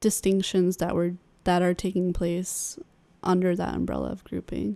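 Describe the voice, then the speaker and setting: In a Californian accent, a woman speaks at a medium pitch with monotone, flat intonation. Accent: American (Californian). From California (Sacramento). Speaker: podcast co-host. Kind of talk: casual conversation.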